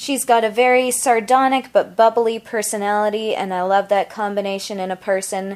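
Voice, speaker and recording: A woman's plain, everyday voice, fairly high in pitch, with ordinary pitch variation at a moderate pace. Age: 30s. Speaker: podcast host. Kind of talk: casual chat; podcast intro.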